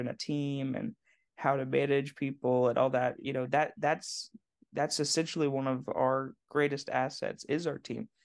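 A man with an American accent, fairly high in pitch and fairly even in intonation, at a moderate pace against a quiet background. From southern Indiana, US Midwest. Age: 20s. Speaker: e-commerce founder. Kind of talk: interview. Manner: halting, many repetitions.

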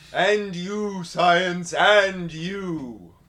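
A man puts on a character voice with a high pitch. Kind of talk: old-world, theatrical.

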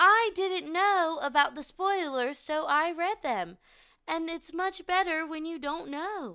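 In a very clean recording with a silent background, a raised, projected voice with an American accent speaks at a fairly slow pace, its bright, sharp tone and intonation lively. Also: woman. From West Virginia. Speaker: podcast co-host. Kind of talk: casual chat.

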